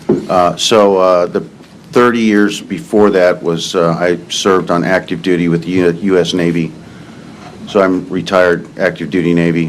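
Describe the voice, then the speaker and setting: A man with an American accent at a very deep, low pitch, moderately paced and fairly even, amid noticeable background noise and audible room echo. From Iowa, Cedar Rapids area. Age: 60s. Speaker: witness, retired Navy. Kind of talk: court testimony. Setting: courtroom.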